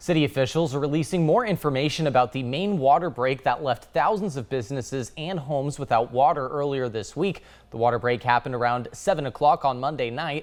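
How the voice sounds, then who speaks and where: A man's fairly high, an ordinary speaking voice, with an American accent, at a fairly quick pace with hardly any pauses and ordinary pitch variation. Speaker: television news anchor and reporter.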